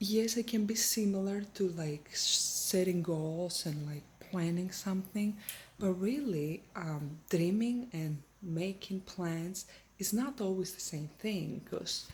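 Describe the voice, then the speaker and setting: A soft-spoken, somewhat breathy voice at a very slow pace with ordinary pitch variation. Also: woman, medium pitch for a woman. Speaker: faith vlogger. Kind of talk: casual encouraging talk. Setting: at home in her kitchen.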